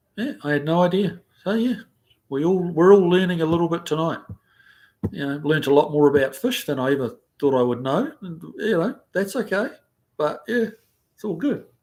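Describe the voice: With lively intonation and a slightly mellow tone, a man speaks at a fairly high pitch. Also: moderate pace.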